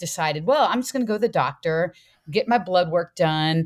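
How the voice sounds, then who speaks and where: Her fairly low pitch carrying lively intonation, a woman talks in an unremarkable speaking voice on a very clean recording with a silent background. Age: 60s. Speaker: fitness coach and former school counselor. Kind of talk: podcast interview.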